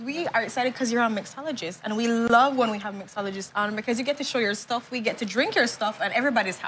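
Against light background noise, a woman talks at a very fast pace with hardly any pauses and ordinary pitch variation. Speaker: TV show co-host. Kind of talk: interview questions, casual banter. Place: studio.

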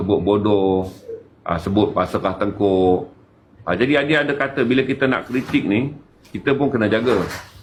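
The speaker has a plain, everyday voice with ordinary pitch variation. The pace is moderate and the loudness very even. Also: man, medium pitch for a man. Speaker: activist. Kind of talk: casual chat.

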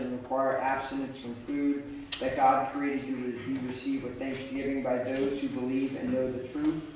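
Amid strong room echo and noticeable background noise, a man speaks in a monotone, flat intonation. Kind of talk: impromptu congregation discussion with scripture reading. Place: church.

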